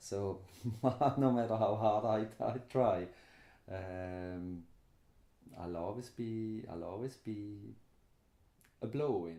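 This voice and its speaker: In a Swiss accent, a man with a fairly low pitch and a dark, mellow tone speaks at a very slow pace with ordinary pitch variation. He leaves long, frequent pauses. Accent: Swiss accent, noticeable. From Switzerland. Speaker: interviewee, immigrant resident. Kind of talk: interview.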